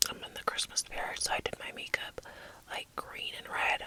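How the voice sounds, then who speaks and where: A woman with an American accent is whispering over noticeable background noise. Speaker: mother of four. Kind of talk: ASMR whispered ramble. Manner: whispered, soft.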